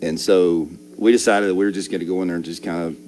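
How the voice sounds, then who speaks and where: With an Alabama accent, a man talks at a very fast pace in a very deep, low pitch and fairly even intonation. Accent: Southern US (Alabama). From Alabama, Birmingham. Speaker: high school football assistant coach. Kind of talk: casual interview chat.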